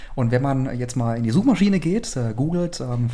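Through noticeable background noise, a man talks at a moderate pace with lively intonation. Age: 30s. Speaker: fashion brand owner. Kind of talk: casual interview. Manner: hesitant with frequent fillers.

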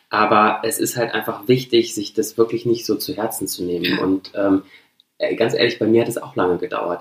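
In an unremarkable speaking voice, a man talks at medium pitch and a moderate pace with ordinary pitch variation. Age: 30s. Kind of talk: casual chat.

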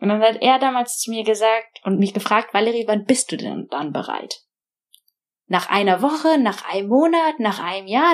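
A woman speaks at a fairly high pitch and a moderate pace. Her voice makes very wide pitch swings. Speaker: tech founder and investor. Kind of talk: interview. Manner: hesitant, with fillers.

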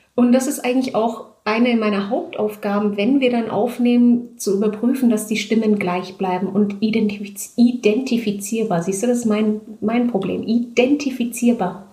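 Over noticeable background noise, a woman with a fairly high pitch speaks in fairly even intonation with hardly any pauses. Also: moderate pace. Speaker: audiobook and theatre director. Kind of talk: casual interview. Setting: at home, in her flat. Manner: hesitant, many filler sounds.

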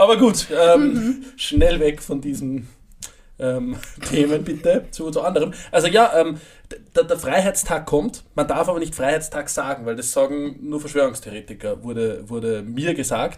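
This man has a normal speaking voice, fairly high-pitched for a man, with lively intonation and a fairly slow pace. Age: 20s. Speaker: podcast co-host. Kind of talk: casual chat.

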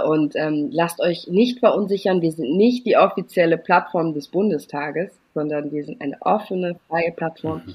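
Speaking with ordinary pitch variation, a woman keeps a moderate pace. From Germany, Eritrean family. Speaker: campaign strategist. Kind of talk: interview.

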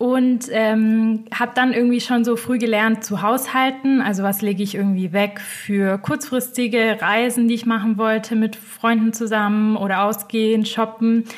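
Over noticeable background noise, the voice moves at a moderate pace in a monotone with flat intonation, very even loudness and hardly any pauses. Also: woman, fairly high pitch for a woman. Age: 20s. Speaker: finance blogger. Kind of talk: interview. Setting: video call.

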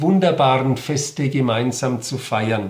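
A man's somewhat breathy voice with ordinary pitch variation and audible room echo. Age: 50s. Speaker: Protestant regional bishop. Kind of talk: interview statement. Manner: formal.

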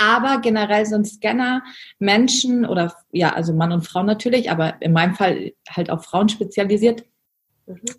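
This woman's voice sits at medium pitch and is somewhat breathy. Her pitch variation is ordinary. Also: moderate pace. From Germany. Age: 30s. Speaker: business coach. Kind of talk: interview.

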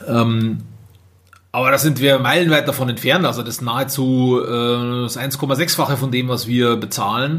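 A man with a medium-pitched voice is heard with some audible echo from the room. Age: 30s. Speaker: care home owner, podcaster. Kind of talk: solo podcast monologue. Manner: casual, many filler sounds.

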